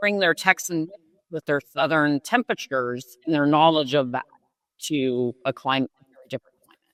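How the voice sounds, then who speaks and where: A woman's very deep, low-pitched voice at a moderate pace, with big swings in loudness and a dry, close sound with no echo. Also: ordinary pitch variation. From Alaska. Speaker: podcast co-host. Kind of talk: casual chat.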